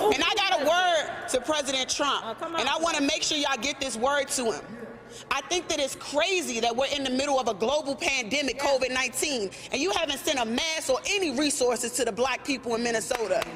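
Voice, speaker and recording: Over noticeable background noise, a woman with an American accent speaks in a high pitch and passionate tone at a fairly quick pace, with ordinary pitch variation and hardly any pauses. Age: young. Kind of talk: public protest speech at a news conference. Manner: passionate, forceful, emphatic.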